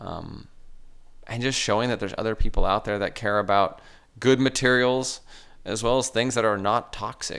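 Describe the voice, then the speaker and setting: A man with an unremarkable speaking voice and ordinary pitch variation talks at a moderate pace, recorded very cleanly against a silent background. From southern California. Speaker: entrepreneur, print shop owner. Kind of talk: interview.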